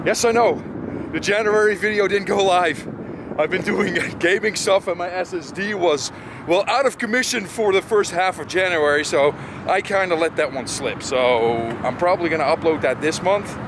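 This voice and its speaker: A man talks at a moderate pace with lively intonation and a high pitch. The sound is dry with no echo, though noticeable background noise is present. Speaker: car show vlogger. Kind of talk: casual vlog chat. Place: street. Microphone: phone near.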